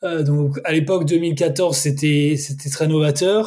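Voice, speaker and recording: With a plain, everyday voice, a man talks at a fairly high pitch with fairly even intonation. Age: 30s. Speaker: sportswatch brand country manager. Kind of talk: interview.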